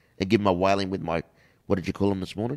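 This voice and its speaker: This man speaks with an Australian accent in a fairly low pitch. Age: 50s. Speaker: inspirational speaker. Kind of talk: casual chat.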